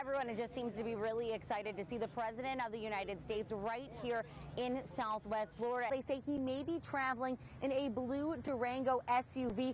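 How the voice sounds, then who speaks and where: A woman's high-pitched voice at a fairly quick pace, fairly even in intonation, with noticeable background noise. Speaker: TV news anchor and reporter. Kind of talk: anchor studio news read.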